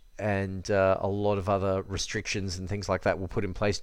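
Speaking in an Australian accent, a man delivers his words at a fairly low pitch in a flat monotone. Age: 30s. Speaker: fitness podcaster. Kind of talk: solo podcast monologue. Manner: halting, many fillers.

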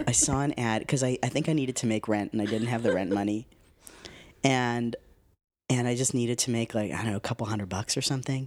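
A man speaks at a very fast pace. His pitch is medium, and the recording is very clean with a silent background. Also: fairly even intonation. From Canada, Winnipeg. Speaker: actor and acting teacher. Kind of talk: interview conversation. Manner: halting, many false starts.

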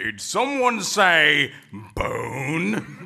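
This man puts on a character voice pitched high for a man.

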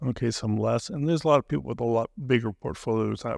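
Against a quiet background, a man uses an ordinary speaking voice at medium pitch with ordinary pitch variation, the sound dry and close with no echo. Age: 60s. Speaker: financial planner. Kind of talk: radio interview. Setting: radio studio.

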